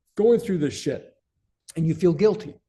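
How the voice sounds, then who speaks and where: Music plays in the background. A man talks in a high pitch. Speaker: self-help coach for men. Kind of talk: unscripted motivational talk. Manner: occasional stammers and pauses; casual, animated.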